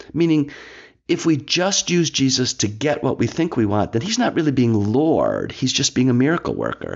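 With a normal speaking voice, this man talks at a moderate pace in a fairly high pitch, his loudness staying very even. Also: lively intonation. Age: 60s. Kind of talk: scripted reflection mixed with casual talk. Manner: conversational with fillers and restarts.

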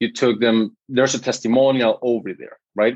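The voice carries a Spanish accent. The sound is dry and close, with no echo. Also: man. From Guatemala. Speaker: ghostwriter and social media entrepreneur. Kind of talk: casual interview chat.

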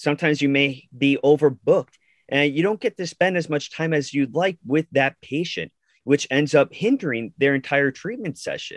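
This man has an ordinary speaking voice and an American accent, pitched fairly high with ordinary variation. The sound is dry and close, with no echo. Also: moderate pace. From Long Island, New York. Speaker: physical therapist, podcast co-host. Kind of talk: casual chat.

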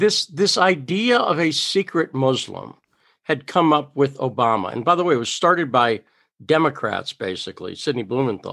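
Pitched fairly high for a man, an American-accented male speaker uses vocal fry and very wide pitch swings at a moderate pace on a very clean recording with a silent background. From Massachusetts, US. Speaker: reporter. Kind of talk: interview conversation.

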